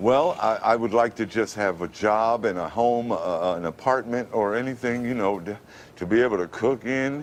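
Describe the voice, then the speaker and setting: A man with an unremarkable speaking voice talks at a medium pitch and moderate pace with ordinary pitch variation. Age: 50s. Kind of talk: interview answer.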